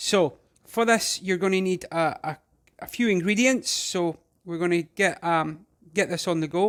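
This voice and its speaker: Speaking with a Scottish accent, a man uses a high pitch, a relaxed tone, a moderate pace and ordinary pitch variation. The recording is very clean, its background silent. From Scotland. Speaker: home cook. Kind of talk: casual cooking tutorial to camera. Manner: relaxed, hesitant.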